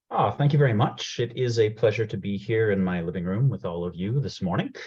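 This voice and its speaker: A man with a Canadian accent, fairly low pitch and a somewhat breathy sound, talking at a very fast pace. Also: ordinary pitch variation. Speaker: program manager presenting a career workshop. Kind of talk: webinar presentation. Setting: video call from home.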